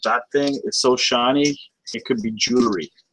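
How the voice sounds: A man speaks at medium pitch. His tone is fairly bright. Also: ordinary pitch variation, moderate pace.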